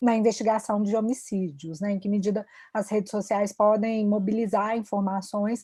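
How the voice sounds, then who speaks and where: A woman with a strong Minas Gerais accent speaks at a moderate pace in a medium pitch, her dark, mellow tone somewhat breathy and her intonation flat and monotone. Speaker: panel moderator, researcher. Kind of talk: panel moderation. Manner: polite, formal.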